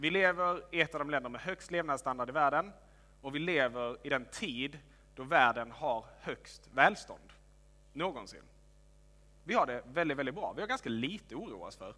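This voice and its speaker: A man speaks with a bright, sharp tone at a fairly high pitch. His intonation is lively, and his loudness swings widely. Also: moderate pace. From Helsingborg, Skåne, southern Sweden. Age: 20s. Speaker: pastor. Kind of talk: sermon.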